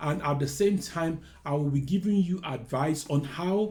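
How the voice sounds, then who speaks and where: A man with a Nigerian accent, a dark, mellow tone, lively intonation, a fairly slow pace, and a somewhat breathy sound. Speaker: careers adviser. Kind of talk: talking-head video, personal story and advice.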